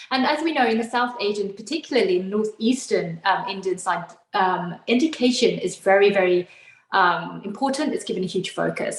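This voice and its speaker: A woman with a medium-pitched voice talks at a fairly quick pace. Her intonation is lively, and there is noticeable background noise. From UK. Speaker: talk show host. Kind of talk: interview.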